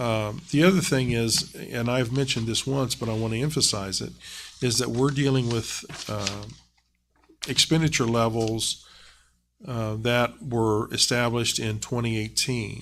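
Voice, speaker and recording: With a Southern Ohio accent, a man speaks at a fairly slow pace and with fairly even intonation. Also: medium pitch for a man. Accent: Southern Ohio accent, noticeable. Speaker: school district treasurer. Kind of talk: public meeting presentation. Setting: board meeting. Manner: halting, many fillers.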